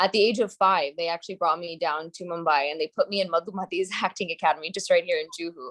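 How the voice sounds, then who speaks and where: A woman with a New Jersey accent talks at a fairly quick pace in a fairly low pitch with fairly even intonation. The sound is dry and close with no echo. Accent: American (New Jersey). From US, New Jersey. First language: Gujarati. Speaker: actress. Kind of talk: interview.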